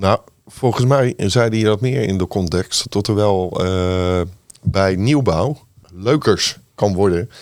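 Speaking at a very slow pace with a fairly low pitch and ordinary pitch variation, a man is heard in a very clean recording against a silent background. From Netherlands, Rotterdam. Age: 50s. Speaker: city councillor, navy veteran. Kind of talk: political discussion.

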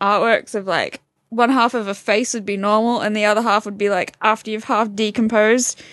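Against a quiet background, a woman with an Australian accent speaks at a moderate pace in a fairly high, monotone, flat voice. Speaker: podcast co-host. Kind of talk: casual chat.

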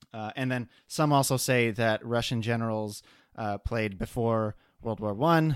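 In an unremarkable speaking voice with ordinary pitch variation, the speaker goes at a fairly slow pace on a very clean recording with a silent background. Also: man, medium pitch for a man. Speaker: board game podcast co-host. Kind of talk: casual chat. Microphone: new microphone.

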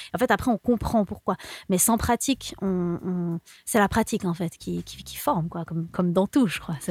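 A woman uses a normal speaking voice at a medium pitch and a moderate pace, with ordinary pitch variation, big swings in loudness, and a dry, close sound with no echo. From Switzerland, Lausanne. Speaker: singer-songwriter. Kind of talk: radio interview.

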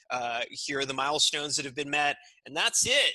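A man's fairly high-pitched voice with an American accent, a bright, sharp tone and a moderate pace. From California, US. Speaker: entrepreneur. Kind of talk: interview. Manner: halting, many fillers.

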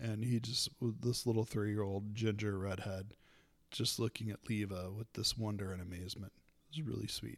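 A man talks in a plain, everyday voice at a moderate pace, fairly low in pitch with fairly even intonation. The recording is very clean with a silent background. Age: 30s. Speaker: podcast host, wrestling fan. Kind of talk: casual solo podcast monologue.

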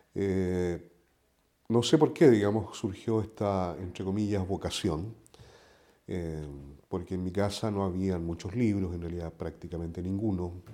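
A man with a very deep, low, dark and mellow voice, ordinary pitch variation, a fairly slow pace and big swings in loudness. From southern Chile. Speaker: poet. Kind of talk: interview. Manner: halting.

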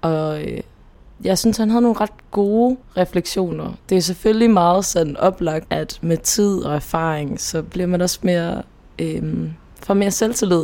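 With a plain, everyday voice, a woman speaks at a fairly slow pace, her fairly low pitch showing ordinary pitch variation. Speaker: podcast co-host. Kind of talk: casual chat.

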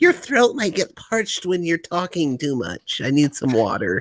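Putting on a character voice, a man speaks at a high pitch. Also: moderate pace. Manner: abrupt change of tone, comic.

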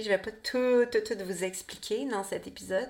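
Her pitch medium and her intonation fairly even, a woman speaks at a fairly quick pace. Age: 40s. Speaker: podcast host, birth and women's health educator. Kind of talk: solo podcast monologue. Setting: home studio.

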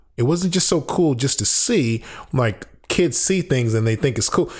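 A man with an American accent, a fairly high pitch, very wide pitch swings, a somewhat breathy, animated tone, and a very clean recording with a silent background. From US, Chicago then San Francisco Bay Area. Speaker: actor. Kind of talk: casual interview. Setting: living room of a rental apartment. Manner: animated, high energy. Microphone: slight room echo.

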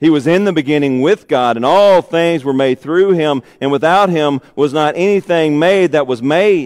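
In a Southern US accent, a man with a fairly high pitch talks at a fairly slow pace with ordinary pitch variation, in a dry, close sound with no echo. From Arkansas. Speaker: pastor. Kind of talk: sermon.

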